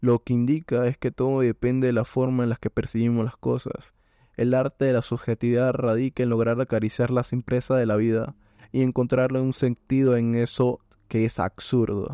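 At a moderate pace, a man talks in a dark, mellow tone with monotone, flat intonation, the sound dry and close with no echo over a quiet background. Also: medium pitch for a man. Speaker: podcast host. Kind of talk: casual monologue. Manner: stumbling.

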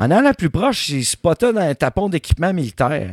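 A man in a Quebec accent, animated in tone, with very wide pitch swings at a moderate pace in a dry, close sound with no echo. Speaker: history podcast host. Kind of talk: storytelling, casual chat.

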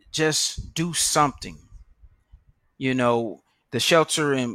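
A man with an American accent speaks at a very slow pace, using ordinary pitch variation. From San Francisco, California. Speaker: political candidate. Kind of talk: campaign address.

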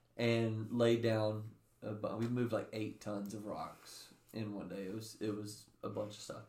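Audible room echo around a man's medium-pitched voice with an American accent, at a fairly slow pace. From US South, Bible Belt. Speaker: young adult ministry podcast co-host. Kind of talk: casual chat.

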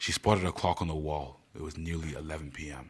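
A man's very deep, low voice rasps with vocal fry. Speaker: podcaster and author. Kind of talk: promo intro, then audiobook narration, then casual outro; dramatic narration of a heist story chapter. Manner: animated, casual and chatty in intro and outro; dramatic, voicing characters in a suspenseful tone.

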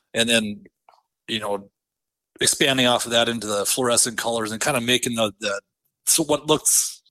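In an Upper Midwest accent, a man speaks at a fairly quick pace with a bright, sharp tone. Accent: Upper Midwest American. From central North Dakota. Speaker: custom lure painter and angler. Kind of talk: casual interview chat.

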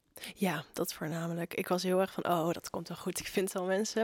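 A woman speaks in a flat monotone with a fairly low pitch. Her pace is moderate. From Zeeland, Netherlands. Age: young. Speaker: student magazine writer. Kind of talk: casual chat.

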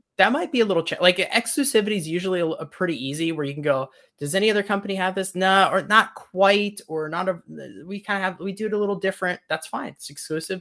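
A man speaks in a raised, projected voice at high pitch with a bright, sharp tone. His very fast delivery has lively intonation and hardly any pauses. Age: 40s. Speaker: marketing consultant. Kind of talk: interview. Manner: hesitant, many fillers.

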